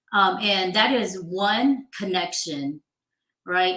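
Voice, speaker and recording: Speaking very slowly with a slight Southern US accent, a woman has a bright, sharp tone and ordinary pitch variation. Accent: slight Southern twang. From Georgia, US South. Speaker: HR professional. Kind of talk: interview advice talk.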